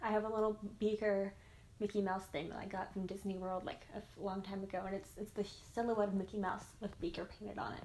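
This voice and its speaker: A speaker with an American accent talks at a very fast pace in a flat monotone. Noticeable background noise runs under the voice. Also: woman. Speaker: YouTuber. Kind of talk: casual Q&A vlog.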